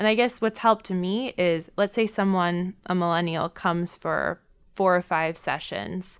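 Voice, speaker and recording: In an American accent, a woman speaks at a moderate pace in a normal speaking voice, recorded very cleanly against a silent background. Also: medium pitch for a woman, fairly even intonation. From US Midwest, Milwaukee, Wisconsin. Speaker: therapist. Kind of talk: podcast interview.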